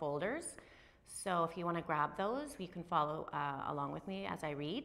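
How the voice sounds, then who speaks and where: Her voice fairly low with a bright, sharp tone, a woman speaks at a moderate pace with ordinary pitch variation. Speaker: instructor. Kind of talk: lecture. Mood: cheerful, upbeat. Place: classroom.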